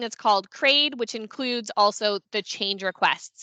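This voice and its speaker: Dry sound with no echo carries a moderate pace and ordinary pitch variation over a quiet background. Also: woman. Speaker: consulting firm founder presenting a webinar; presenter. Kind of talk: webinar presentation. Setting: online meeting on Teams. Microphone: headset.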